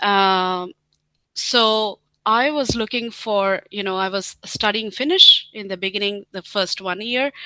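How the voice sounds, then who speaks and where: With an Indian accent, a woman speaks at a medium pitch and a fairly slow pace, her pitch varying in an ordinary way. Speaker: scientist and team leader. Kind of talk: interview. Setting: webinar. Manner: hesitant, many fillers.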